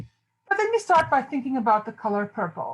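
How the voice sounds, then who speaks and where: With lively intonation, a woman speaks at a fairly slow pace in a somewhat breathy voice. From South Africa. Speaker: theology professor. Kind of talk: lecture. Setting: video call.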